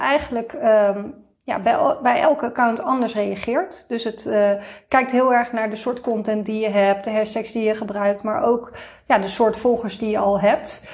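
In a plain, everyday voice, a woman speaks at a moderate pace, fairly high in pitch with fairly even intonation. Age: 40s. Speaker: Instagram influencer and marketing consultant. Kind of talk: interview.

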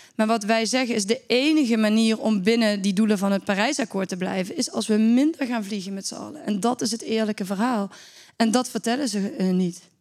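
A woman has an ordinary speaking voice, pitched fairly high. She talks at a fairly quick pace with ordinary pitch variation. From Netherlands, Limburg. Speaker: climate activist, campaign founder. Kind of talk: interview conversation.

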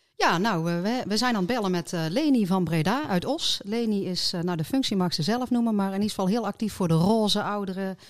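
In an unremarkable speaking voice, a woman talks at a fairly quick pace with lively intonation on a very clean recording with a silent background. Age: middle-aged. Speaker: podcast co-host, political candidate. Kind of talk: casual chat.

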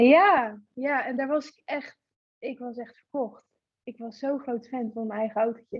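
A woman with a high pitch speaks at a fairly slow pace. Her loudness swings widely, and her pitch varies in an ordinary way. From Netherlands, Gorinchem. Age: 20s. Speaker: car photographer. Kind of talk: casual chat.

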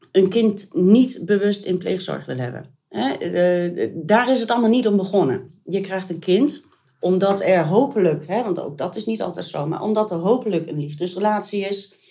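A woman speaks at a moderate pace and a medium pitch, her voice somewhat breathy. Her tone is dark and mellow, and her intonation is lively. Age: 50s. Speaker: mother and foster parent. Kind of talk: interview.

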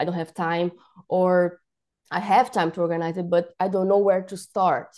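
A woman's dark, mellow tone at a medium pitch, in a Portuguese accent, with fairly even intonation. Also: moderate pace. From Brazil. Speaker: professional organiser. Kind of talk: casual interview. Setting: remote call. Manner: halting, repeats words.

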